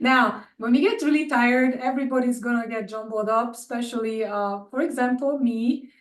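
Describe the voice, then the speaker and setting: At a moderate pace and with hardly any pauses, a woman talks in a high pitch with fairly even intonation. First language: not English. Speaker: animation department chair. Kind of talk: webinar Q&A.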